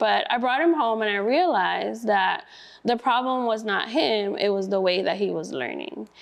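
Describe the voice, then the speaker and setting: This woman has a Spanish accent. Her pitch sits in the medium range. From Brooklyn, New York. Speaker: school district staff, student teacher. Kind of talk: interview.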